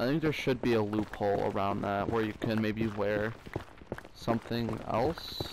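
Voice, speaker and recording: A fairly low-pitched man at a fairly slow pace, with noticeable background noise. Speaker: gaming youtuber. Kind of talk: gameplay commentary. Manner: animated.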